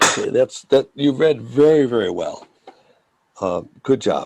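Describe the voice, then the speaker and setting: A man talks at a moderate pace. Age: 60s. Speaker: language teacher. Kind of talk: language lesson.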